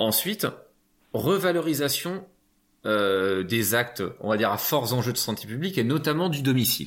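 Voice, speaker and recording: Speaking at a fairly slow pace with long, frequent pauses, a man with a medium-pitched voice makes very wide pitch swings in a very clean recording with a silent background. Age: 30s. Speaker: physiotherapist and union representative. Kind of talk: interview. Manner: halting, many repetitions.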